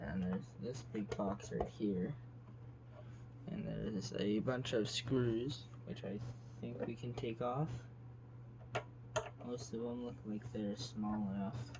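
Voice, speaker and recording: Speaking quietly and very slowly, a man leaves long, frequent pauses and keeps his intonation fairly even. Noticeable background noise and audible room echo fill the recording. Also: medium pitch for a man. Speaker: gaming youtuber. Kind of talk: casual tutorial-style vlog. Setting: home basement floor.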